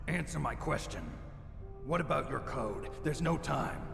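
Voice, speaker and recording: A man's put-on character voice over loud background noise, with a slight echo. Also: moderate pace. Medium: game stream. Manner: terse, clipped.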